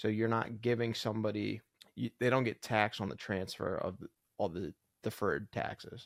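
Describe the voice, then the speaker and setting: In a normal speaking voice at a medium pitch, a man talks at a fairly quick pace with fairly even intonation, in a dry, close sound with no echo. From upstate New York and New Jersey. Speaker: podcast co-host, engineer. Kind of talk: casual chat.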